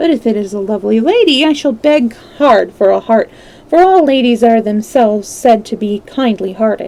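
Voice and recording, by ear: Someone reads aloud in a natural voice.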